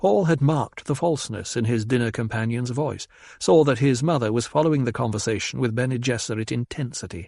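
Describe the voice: Someone reads aloud plainly, the pitch moving up and down in an ordinary way.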